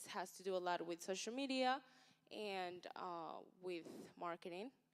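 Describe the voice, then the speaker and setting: This woman talks at a moderate pace with a medium pitch. She has a plain, everyday voice. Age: young. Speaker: social media influencer and entrepreneur. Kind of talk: panel talk.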